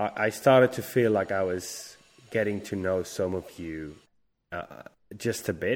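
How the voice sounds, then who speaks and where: Here a man with a Spanish accent speaks at a fairly slow pace. His pitch is very deep and low, with ordinary variation. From Spain. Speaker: game producer. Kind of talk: casual chat. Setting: video call.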